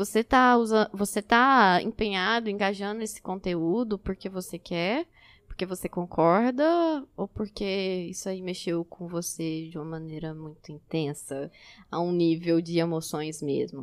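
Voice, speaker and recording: At a fairly slow pace and medium pitch, a woman with a plain, everyday voice talks with ordinary pitch variation. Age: 20s. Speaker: photographer and psychology student. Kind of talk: casual chat.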